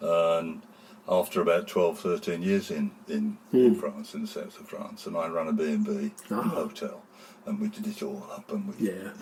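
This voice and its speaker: There's noticeable background noise as a man with a West Midlands accent speaks at a moderate pace. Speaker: town crier. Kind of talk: interview answer.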